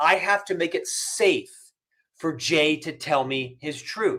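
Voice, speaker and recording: A man speaks loudly in a high-pitched voice with an energetic tone. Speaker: business author and career coach. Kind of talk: podcast interview.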